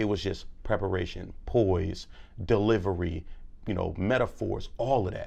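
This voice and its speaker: Somewhat breathy and dark, mellow in tone, a man speaks at a fairly slow pace with a fairly low pitch and ordinary pitch variation. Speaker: public speaker and author. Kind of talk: interview. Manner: animated.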